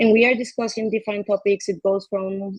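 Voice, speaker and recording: This woman speaks at a medium pitch in a monotone, flat intonation. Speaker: foundation team member presenting community and regulatory work. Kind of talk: online event presentation. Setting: livestream with chat comments. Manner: fast.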